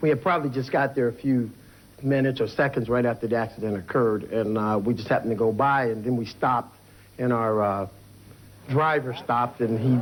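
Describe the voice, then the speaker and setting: With an American accent, a man talks at a fairly quick pace and a medium pitch. He has a plain, everyday voice with ordinary pitch variation. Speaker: eyewitness. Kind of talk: interview answer.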